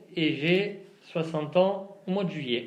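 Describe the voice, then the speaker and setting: A man talks in a room with audible echo. Noticeable background noise runs underneath. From southeastern France (La Ciotat, Provence). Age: 50s. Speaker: interviewee, local resident. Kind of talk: interview answers. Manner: halting, many hesitations.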